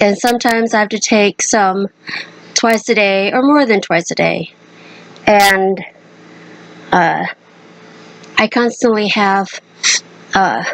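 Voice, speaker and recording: Noticeable background noise surrounds a woman speaking at a very slow pace with long, frequent pauses. Her medium pitch, fairly even intonation and very even loudness hold throughout. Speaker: vlogger with cystic fibrosis. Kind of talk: personal vlog. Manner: halting.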